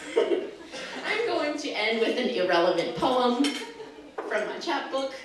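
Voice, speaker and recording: Over noticeable background noise, a woman talks in a high pitch with very wide pitch swings. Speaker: spoken word poet. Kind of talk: casual stage banter.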